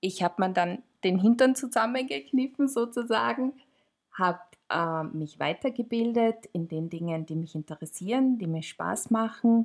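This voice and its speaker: Her intonation is lively and her pitch fairly high for a woman. She keeps a moderate pace. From Austria, Tyrol. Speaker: podcast co-host, marketing consultant. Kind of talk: casual chat. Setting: studio, sitting next to co-host.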